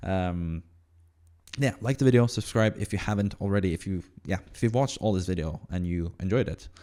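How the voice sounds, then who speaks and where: A man's fairly low, dark, mellow voice at a fairly quick pace with ordinary pitch variation, in a very clean recording with a silent background. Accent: Norwegian. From Norway. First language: Norwegian. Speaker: fantasy football content creator. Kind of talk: casual solo commentary. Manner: halting, many fillers.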